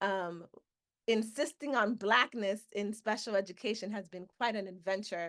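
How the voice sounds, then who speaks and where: With ordinary pitch variation, a woman's speech unfolds at a moderate pace. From Miami, Florida (Dominican family). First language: Spanish. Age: 40s. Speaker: professor. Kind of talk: webinar talk. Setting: video call.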